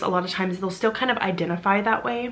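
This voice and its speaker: A woman talking very fast in an American accent over noticeable background noise. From US South, Arkansas. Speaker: witchcraft content creator. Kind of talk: personal storytelling vlog.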